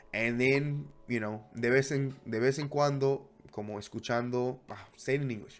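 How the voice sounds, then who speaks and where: His voice sits at a medium pitch, moving at a moderate pace with fairly even intonation. Music can be heard in the background behind this man. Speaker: language learner vlogger. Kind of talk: casual vlog monologue. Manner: casual, halting with fillers.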